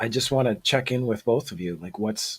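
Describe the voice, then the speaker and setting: He talks with a somewhat breathy quality. The rise and fall of his pitch is ordinary. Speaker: online event host. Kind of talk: live online event facilitation.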